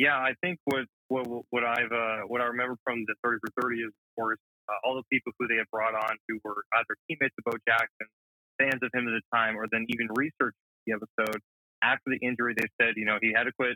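In an American accent, a man speaks very fast with monotone, flat intonation. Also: medium pitch for a man. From Georgia, US South (Alpharetta). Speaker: media intern, sports fan. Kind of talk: casual sports chat. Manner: halting, many fillers.

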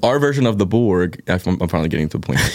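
In an American accent, a man speaks at a fairly quick pace with lively intonation. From Philadelphia. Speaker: musician. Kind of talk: casual interview chat. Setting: studio. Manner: casual, filler-heavy, uses 'like' a lot.

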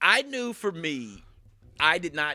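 In a very clean recording with a silent background, a man's bright, sharp voice moves through very wide pitch swings. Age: 30s. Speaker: gym staff member. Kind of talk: casual chat.

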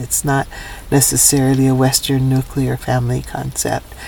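A woman with a very deep, low voice speaks in a Hawaiian accent over noticeable background noise. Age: old. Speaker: elder, professor and Native rights activist. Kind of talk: interview. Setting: minivan studio.

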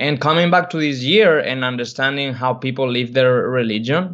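A Spanish accent at a moderate pace, with ordinary pitch variation. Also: man. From Spain. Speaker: podcast co-host. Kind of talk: casual interview chat.

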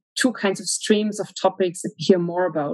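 A woman is speaking. She has a German accent. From Germany. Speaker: research analyst. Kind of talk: interview.

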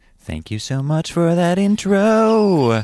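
The voice is a put-on character voice at a middle pitch. It moves at a fairly slow pace. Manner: weak, ethereal, slowly dying.

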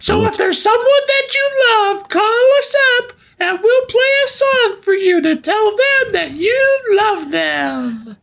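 A squeaky put-on character voice at an extremely high pitch and a fairly slow pace. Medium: comedy sketch. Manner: eager, interrupting.

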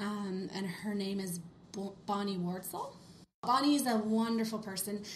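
Amid audible room echo, a woman speaks somewhat breathily at medium pitch with fairly even intonation. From Western Canada (Kelowna, British Columbia). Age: 30s. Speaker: skincare specialist. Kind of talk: casual interview.

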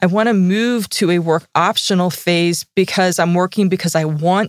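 A woman with a fairly low pitch uses an unremarkable speaking voice at a moderate pace, dry and close with no echo, in a very clean recording with a silent background. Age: 40s. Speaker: financial strategist. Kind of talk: casual chat. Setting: studio.

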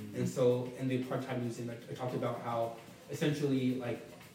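Fairly quick speech from a man with an American accent, over noticeable background noise. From US South, Atlanta area, Georgia. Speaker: podcast guest, traveler. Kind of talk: casual interview.

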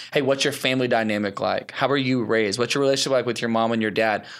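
A man has a plain, everyday voice at a medium pitch with fairly even intonation. It is a very clean recording with a silent background. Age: 20s. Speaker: creative producer and church leader. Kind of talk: interview.

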